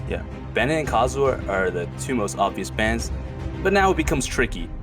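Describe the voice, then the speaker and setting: Over music in the background, a man with a very deep, low pitch talks at a fairly quick pace, his voice making very wide pitch swings. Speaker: game commentator. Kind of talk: esports casting commentary.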